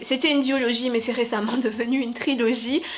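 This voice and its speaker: Over noticeable background noise, a woman talks fairly slowly in a high pitch. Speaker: novelist and booktuber. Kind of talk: casual vlog. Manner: energetic, excited.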